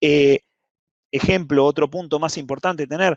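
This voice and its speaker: Fairly high for a man, this voice moves at a fairly quick pace with ordinary pitch variation, in a dry, close sound with no echo. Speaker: cloud security specialist. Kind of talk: lecture. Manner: fast.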